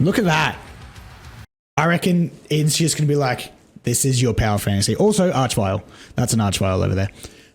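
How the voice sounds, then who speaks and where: With music in the background, a man speaks with very wide pitch swings and long, frequent pauses. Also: medium pitch for a man, fairly quick pace, very even loudness. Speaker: gaming content creator. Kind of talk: casual trailer reaction commentary. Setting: recorded during a livestream. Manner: excited.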